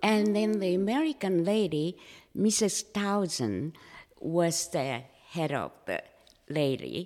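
A woman with a Japanese accent talks at a very slow pace in a fairly low pitch, leaving long, frequent pauses. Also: lively intonation. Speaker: former flight attendant and artist. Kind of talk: interview storytelling. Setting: room with echo.

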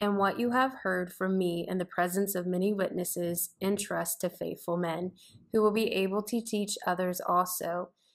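This very clean recording has a silent background and a woman speaking at a moderate pace. Hers is an unremarkable speaking voice at medium pitch. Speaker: mother and co-host. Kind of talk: Bible study discussion.

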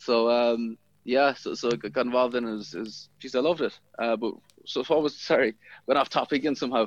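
Over a quiet background, a man with a west of Ireland accent speaks at medium pitch with ordinary pitch variation. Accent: west of Ireland Irish. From Inishmore, Aran Islands, west of Ireland. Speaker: rugby player. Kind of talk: casual interview.

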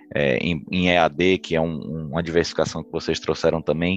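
In a Bahian accent, a man with a very deep, low pitch speaks at a moderate pace, in a dry, close sound with no echo. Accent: Bahian Brazilian Portuguese. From Bahia, Brazil. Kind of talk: casual interview.

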